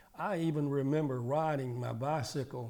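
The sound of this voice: A man speaks at a moderate pace in a dark, mellow tone. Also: medium pitch for a man, ordinary pitch variation.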